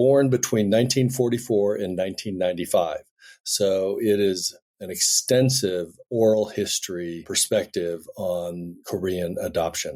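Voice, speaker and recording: On a very clean recording with a silent background, a man with an American accent and a fairly low pitch speaks at a fairly slow pace with ordinary pitch variation, in an ordinary speaking voice. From US, Denver Colorado. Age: 60s. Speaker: filmmaker and adoptee. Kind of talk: podcast interview.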